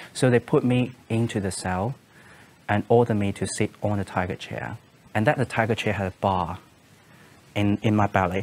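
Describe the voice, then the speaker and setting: Long, frequent pauses break up a man's fairly low voice, which has ordinary pitch variation. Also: moderate pace. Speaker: interviewee. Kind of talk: interview answer. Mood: calm, serious recounting. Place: studio.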